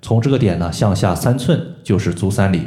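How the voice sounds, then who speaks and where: Audible room echo carries a man's fairly low, somewhat breathy voice, dark and mellow in tone, with ordinary pitch variation. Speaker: podcast host, moxibustion practitioner. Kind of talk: health tutorial. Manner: explanatory, frequent filler particles.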